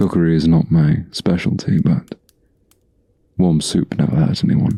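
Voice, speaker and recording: A man puts on a gruff character voice with a very deep, low pitch, speaking soft-spoken at a moderate pace with very even loudness, fairly even intonation, and a dry, close sound with no echo. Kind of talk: ASMR roleplay.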